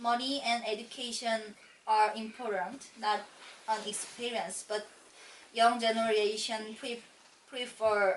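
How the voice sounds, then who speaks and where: Noticeable background noise surrounds a woman speaking with a Korean accent. She talks very slowly at a fairly high pitch. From South Korea. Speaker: immigrant homemaker. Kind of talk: mock speaking exam answers. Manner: halting.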